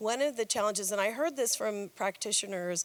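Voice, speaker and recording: Her intonation lively, a woman is talking. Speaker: conference attendee. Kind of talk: audience question. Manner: loud.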